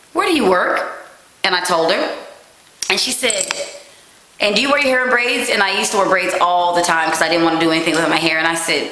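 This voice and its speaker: A woman speaks fairly quickly with an animated tone and lively intonation. Audible room echo and noticeable background noise surround her voice. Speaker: vlogger. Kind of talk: casual monologue. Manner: fast.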